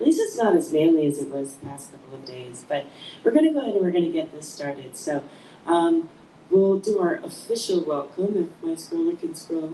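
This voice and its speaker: A soft-spoken woman with big swings in loudness, over noticeable background noise. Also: fairly quick pace. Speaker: podcast host. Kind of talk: podcast introduction. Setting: live stream.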